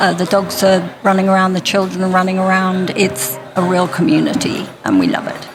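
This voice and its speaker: A woman at medium pitch talks at a fairly quick pace with ordinary pitch variation over noticeable background noise. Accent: English. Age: 60s. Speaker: interview guest. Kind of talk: interview.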